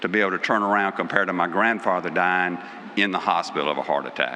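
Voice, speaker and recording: A man's speech comes through with noticeable background noise. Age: 60s. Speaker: award presenter. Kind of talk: awards ceremony speech.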